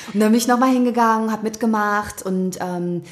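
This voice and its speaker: The woman's voice sits fairly high, with fairly even intonation. She talks at a fairly quick pace. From Thuringia, eastern Germany (early childhood). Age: 30s. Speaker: bestselling author and podcaster. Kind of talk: casual interview conversation. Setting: in-person conversation at her place.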